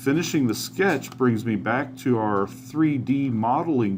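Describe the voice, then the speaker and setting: Using an unremarkable speaking voice, a man talks at a fairly slow pace with medium pitch and ordinary pitch variation. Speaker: teacher. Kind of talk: tutorial.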